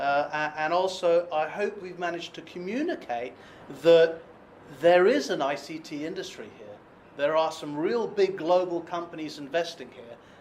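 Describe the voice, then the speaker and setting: A high-pitched man with a British accent at a moderate pace, big swings in loudness, and noticeable background noise. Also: ordinary pitch variation. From Britain. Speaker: business consultant. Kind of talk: webinar presentation. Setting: online webinar. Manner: hesitant fillers.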